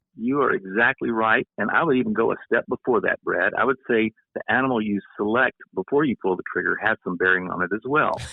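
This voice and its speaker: A fairly quick pace with a slight Southern US accent. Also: man. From US South, Louisiana. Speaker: retired professor and hunter. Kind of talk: casual podcast discussion.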